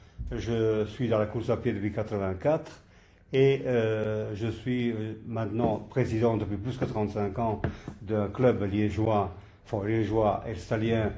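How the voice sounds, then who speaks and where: In a room with audible echo, a man speaks at a very slow pace in a fairly low, somewhat breathy voice of dark, mellow tone, his intonation fairly even. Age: 80s+. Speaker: marathon organizer and veteran runner. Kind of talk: podcast interview. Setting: sports hall.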